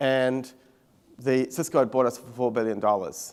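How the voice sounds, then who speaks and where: He speaks with a New Zealand accent. The intonation stays fairly even. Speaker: tech company CEO. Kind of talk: conference keynote talk. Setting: stage with audience.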